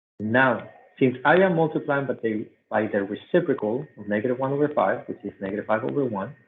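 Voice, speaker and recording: A man with a non-native accent talks at a fairly quick pace. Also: medium pitch for a man, ordinary pitch variation. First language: not English. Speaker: math teacher. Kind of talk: tutorial.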